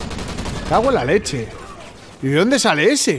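Very wide pitch swings in a Spanish accent at a moderate pace, with noticeable background noise. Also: man. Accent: Peninsular Spanish. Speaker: gaming youtuber. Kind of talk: live gameplay commentary. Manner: animated.

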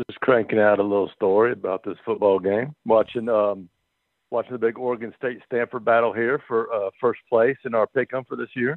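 A man at a moderate pace, fairly even intonation, dry sound with no echo, quiet background. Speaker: radio caller. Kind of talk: casual call-in chat. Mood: relaxed, friendly. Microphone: phone line.

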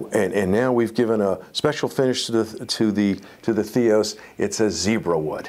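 A man talks at a fairly low pitch with a slightly mellow tone and ordinary pitch variation.

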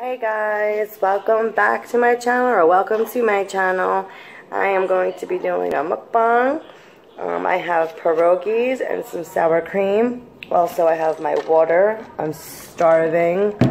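A woman speaks at a fairly slow pace with ordinary pitch variation over light background noise. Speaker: vlogger. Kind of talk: casual vlog chat, mukbang. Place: home room. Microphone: phone near.

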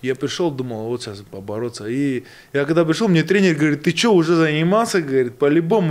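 At a fairly high pitch, a man races along very fast with lively intonation. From Buryatia, Russia (born in Georgia). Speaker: boxer; guest. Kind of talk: casual chat. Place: studio. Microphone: studio mic.

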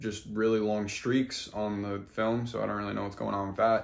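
At a fairly quick pace, a man talks in a fairly low pitch with monotone, flat intonation. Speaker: volleyball content creator. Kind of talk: casual reaction commentary. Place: home room. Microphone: phone near.

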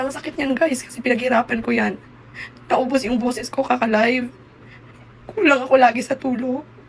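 Noticeable background noise sits behind a woman with a high pitch and fairly even intonation. She speaks at a fairly quick pace but leaves long, frequent pauses. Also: big swings in loudness. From Visayas, Philippines. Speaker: content creator. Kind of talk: vlog update.

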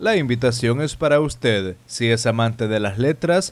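At a fairly slow pace, a man speaks at medium pitch in a normal speaking voice. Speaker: news reporter. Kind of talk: news reporting.

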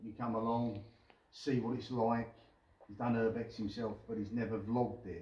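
Somewhat breathy male speech in a monotone with flat intonation, at a moderate pace, with audible room echo. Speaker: urban explorer vlogger. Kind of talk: casual vlog chat. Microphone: camera far.

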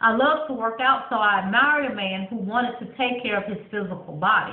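Her delivery moves at a moderate speed. The woman's voice carries audible echo from the room. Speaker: vlogger reading her book. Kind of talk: reading aloud. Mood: warm, storytelling. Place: bathroom. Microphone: webcam.

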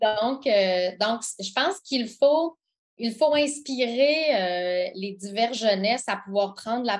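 The background is quiet. A woman talks fairly slowly, with ordinary pitch variation. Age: 40s. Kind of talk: interview. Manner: halting.

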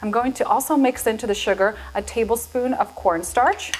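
Over faint music in the background, a woman speaks at a moderate pace in a high pitch. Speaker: cooking show host. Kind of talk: tutorial. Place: kitchen. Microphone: lapel.

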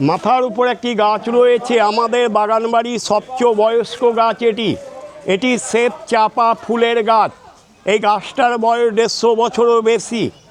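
Against noticeable background noise, a man uses an extremely high pitch and a theatrical tone, with monotone, flat intonation and very even loudness. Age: old. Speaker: tour guide. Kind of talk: guided tour commentary. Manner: theatrical, jatra-like delivery.

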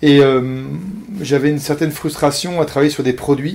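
In a fairly high pitch, a man talks at a moderate pace with monotone, flat intonation. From Paris, France. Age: 40s. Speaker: entrepreneur, IT services company founder. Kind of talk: interview. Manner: halting, many repetitions and hesitations.

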